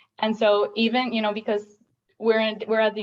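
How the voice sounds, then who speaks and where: Speaking at a fairly quick pace, a woman with a Spanish accent has a fairly high pitch. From Puerto Rico. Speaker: doctoral student, audience member. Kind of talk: panel Q&A comment. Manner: halting, many fillers.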